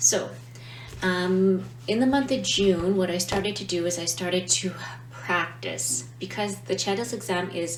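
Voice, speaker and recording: A woman's fairly low voice at a fairly slow pace, with very wide pitch swings, noticeable background noise and audible room echo. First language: not Italian. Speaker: language teacher, vlogger. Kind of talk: casual explainer vlog. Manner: hesitant, many fillers.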